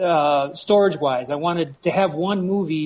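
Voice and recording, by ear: A fairly high male voice at a moderate pace, with ordinary pitch variation.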